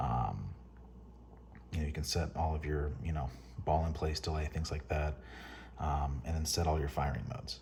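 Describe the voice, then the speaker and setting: Whispering, a man keeps to a moderate speed. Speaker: paintball hobbyist. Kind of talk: product overview talk to camera. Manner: whispered.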